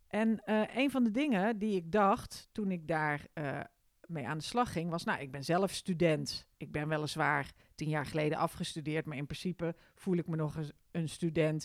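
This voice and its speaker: A woman's fairly low voice with lively intonation, at a moderate pace. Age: 40s. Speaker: podcast host. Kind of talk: casual monologue. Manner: hesitant, many fillers.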